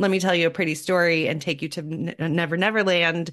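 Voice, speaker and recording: Against a quiet background, a woman with an ordinary speaking voice and a fairly low pitch talks at a moderate pace. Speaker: podcast host and parent coach. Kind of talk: casual interview chat.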